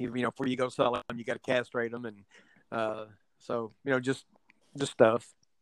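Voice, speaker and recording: A Texan-accented man speaks fairly quickly in a flat monotone, leaving long, frequent pauses. The sound is dry and close with no echo. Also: medium pitch for a man. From Texas (Houston, West Texas). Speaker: rancher and domino player. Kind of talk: casual chat.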